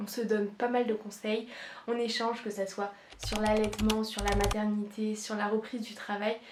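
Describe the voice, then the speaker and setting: Noticeable background noise under a woman's fairly high voice, moving at a moderate pace. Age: 20s. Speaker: nurse and content creator. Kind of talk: casual vlog introduction.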